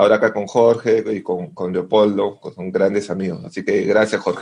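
A man's dark, mellow tone at a fairly low pitch. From Peru. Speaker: classical guitarist and music educator. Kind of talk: casual chat.

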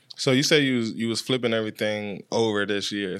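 A man speaks with a fairly low pitch and fairly even intonation. He has an unremarkable speaking voice. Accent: American. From Washington, D.C. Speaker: podcast host and music video director. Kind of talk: casual chat.

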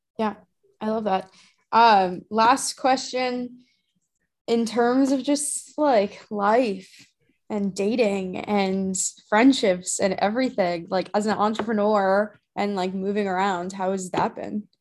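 Speaking at a very slow pace and medium pitch, a woman shows ordinary pitch variation against a quiet background. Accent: American. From Arizona. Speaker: community host. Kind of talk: casual interview.

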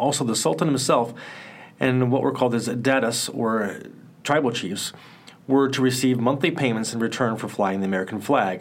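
Using a normal speaking voice, a man speaks fairly quickly at a medium pitch with ordinary pitch variation. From Cedar Rapids, Iowa. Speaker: social studies teacher and podcast host. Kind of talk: history documentary narration, read from a script. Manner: measured, steady, even-paced narration; informative, slightly formal, teacherly.

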